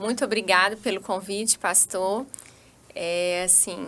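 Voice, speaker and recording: In a strong Minas Gerais accent, a woman speaks at a very slow pace. Her medium-pitched voice has a bright, sharp tone and ordinary pitch variation. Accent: strong Minas Gerais accent, still kept. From Brazil, Minas Gerais (Vale do Jequitinhonha / Vale do Aço). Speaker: physician. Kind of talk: podcast interview.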